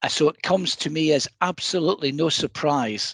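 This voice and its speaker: Speaking with a Scottish accent, a man keeps a fairly slow pace and ordinary pitch variation. The sound is dry and close, with no echo. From Scotland. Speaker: council executive. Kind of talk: scripted presentation.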